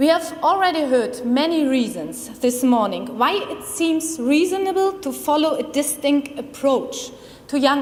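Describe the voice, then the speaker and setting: A woman with a strong German accent speaks at a high pitch and a fairly slow pace, with audible room echo and noticeable background noise. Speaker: criminology researcher. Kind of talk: conference presentation. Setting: conference room with audience. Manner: formal.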